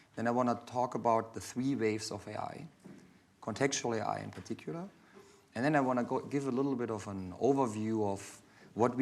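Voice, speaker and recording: Audible room echo surrounds a man's voice. He speaks at a fairly quick pace with ordinary pitch variation. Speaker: AI architect giving invited talk. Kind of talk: lecture.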